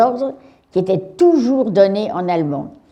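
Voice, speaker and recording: This woman's voice has a dark, mellow tone and lively intonation. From France, Paris. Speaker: Holocaust survivor. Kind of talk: testimony to school pupils.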